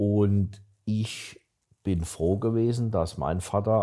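In a very clean recording with a silent background, a man speaks in a fairly low pitch with a dark, mellow tone and ordinary pitch variation. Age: 60s. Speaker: startup investor. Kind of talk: casual chat.

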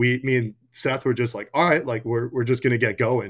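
In a very clean recording with a silent background, a man with an American accent and a normal speaking voice talks at a fairly quick pace and a medium pitch. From North Carolina. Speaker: college hockey player. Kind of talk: interview.

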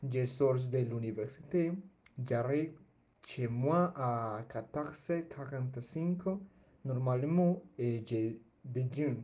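With a Spanish accent, a man speaks very slowly at a medium pitch in a dark, mellow, somewhat breathy tone, his pitch varying in an ordinary way. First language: Spanish (speaking French). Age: young (19). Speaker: language student. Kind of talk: prepared personal presentation. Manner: halting.

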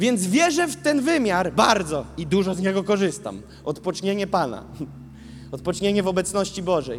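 Animated and lively in intonation, a man speaks at a high pitch and a moderate pace. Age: 20s. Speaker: preacher. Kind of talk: sermon.

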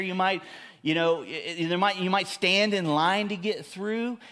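A raised, projected man's voice, high-pitched with a bright, sharp tone, at a moderate pace. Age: 50s. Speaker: pastor. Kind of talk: sermon. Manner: animated.

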